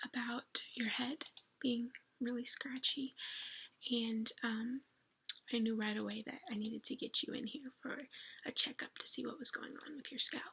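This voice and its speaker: A soft-spoken woman talks with a high pitch and a gentle yet bright, sharp tone. Her intonation is monotone and flat, her pace moderate, with long, frequent pauses. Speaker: ASMR creator doing a scalp check roleplay. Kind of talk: ASMR roleplay, soft-spoken whispered talk to the listener. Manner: soft-spoken, gentle, caring.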